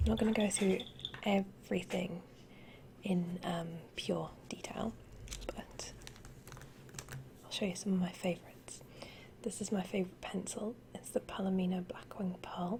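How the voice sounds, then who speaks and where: Soft-spoken at a moderate pace, the voice leaves long, frequent pauses amid noticeable background noise. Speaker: ASMR creator. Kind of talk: ASMR show and tell.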